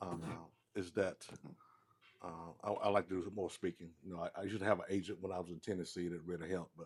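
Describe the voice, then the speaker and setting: Very deep and low, a man's voice rushes along at a very fast pace in a Southern US accent. His intonation is monotone and flat. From US South, Mississippi. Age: 60s. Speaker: former football player. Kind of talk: casual chat. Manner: halting.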